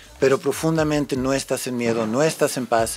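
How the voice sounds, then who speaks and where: A man talks at a fairly slow pace while noticeable background noise runs underneath. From United States. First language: English (speaking Spanish). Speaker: musician and songwriter. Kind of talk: casual chat.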